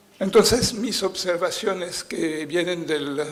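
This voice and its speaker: Speaking with a non-native accent, the voice moves at a very slow pace with fairly even intonation. Noticeable background noise and audible room echo fill the recording. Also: man. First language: French (speaking Spanish). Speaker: political scientist, conference speaker. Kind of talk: conference lecture. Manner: halting, many fillers.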